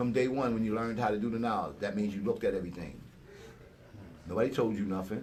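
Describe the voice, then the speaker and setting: The tone is animated. Audible room echo surrounds the voice. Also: man. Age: 60s. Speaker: hip-hop elder. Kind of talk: casual chat.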